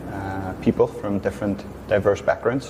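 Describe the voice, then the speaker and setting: A man with a Northern Irish accent speaks in a fairly low pitch. Noticeable background noise can be heard. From Northern Ireland. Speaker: English teacher. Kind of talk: interview.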